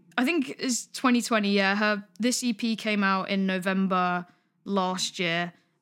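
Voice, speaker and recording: Very slowly and at very even loudness, a woman with a London accent speaks at medium pitch with ordinary pitch variation, in a very clean recording with a silent background. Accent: southern English, London. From Greater London, England (Pinner). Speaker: podcast co-host, songwriter. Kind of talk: casual chat. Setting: call across countries.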